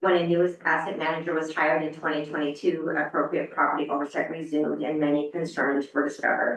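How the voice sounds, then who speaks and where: A woman with a very deep, low pitch talks at a very fast pace in a monotone, flat intonation with hardly any pauses. Audible room echo surrounds her voice. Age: 50s. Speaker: property asset manager presenting to council. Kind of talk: reading a prepared statement at a public meeting. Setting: city council meeting. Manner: halting, many fillers.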